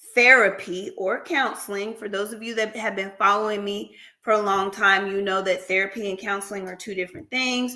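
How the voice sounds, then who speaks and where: A woman talks at a fairly quick pace with hardly any pauses, her tone bright and sharp at a medium pitch. Her loudness swings a lot. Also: fairly even intonation. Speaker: therapist and practice owner. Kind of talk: casual livestream talk. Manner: casual, conversational.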